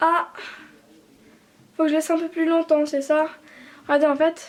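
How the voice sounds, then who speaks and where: In an extremely high voice, a woman speaks with monotone, flat intonation. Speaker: beauty vlogger. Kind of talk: casual tutorial vlog.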